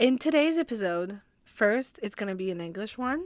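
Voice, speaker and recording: Very wide pitch swings in a French accent, at a fairly slow pace. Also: woman. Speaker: hockey podcaster. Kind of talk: casual podcast talk.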